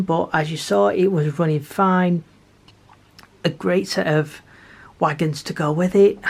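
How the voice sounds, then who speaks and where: A woman speaks quietly. Her pitch is fairly low, with ordinary pitch variation. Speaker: model railway YouTuber. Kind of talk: casual tutorial.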